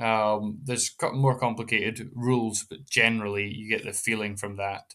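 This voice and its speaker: Recorded very cleanly against a silent background, a man with a medium pitch and a bright, sharp tone speaks at a moderate pace with fairly even intonation and big swings in loudness. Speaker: educational YouTuber. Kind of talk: tutorial. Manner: casual, with frequent fillers.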